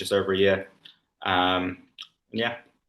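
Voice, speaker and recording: A man with a London accent, fairly low pitch, bright, sharp tone and fairly quick pace. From London, England. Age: 20s. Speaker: former coaching client. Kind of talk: interview testimony.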